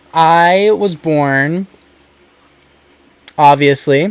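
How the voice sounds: In an American accent, a man speaks very slowly with a clear, smooth tone, a fairly high pitch and ordinary pitch variation.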